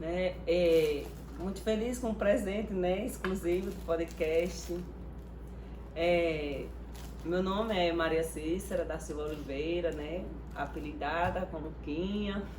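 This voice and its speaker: A woman talks at a very slow pace, with long, frequent pauses. Noticeable background noise and audible room echo fill the recording. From Pernambuco, rural northeast Brazil. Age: 40s. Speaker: podcast guest. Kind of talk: interview, casual chat.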